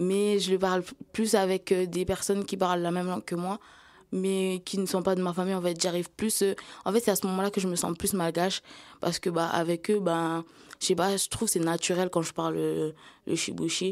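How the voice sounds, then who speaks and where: Here a woman with a medium pitch talks at a fairly quick pace. Her intonation is monotone and flat, and the recording is very clean with a silent background. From Mayotte (Bandrélé, south). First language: Kibushi (Malagasy variety) (speaking French). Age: 20s. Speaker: young trainee sharing her life story. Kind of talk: podcast testimony. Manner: hesitant, many fillers and repetitions; casual youthful slang.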